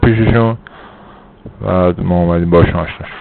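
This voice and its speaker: A man talks at a fairly quick pace with fairly even intonation. Noticeable background noise sits behind him. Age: 30s. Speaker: former bariatric surgery patient. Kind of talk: interview.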